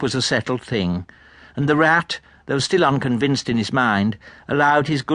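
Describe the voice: What you hear is plain reading aloud.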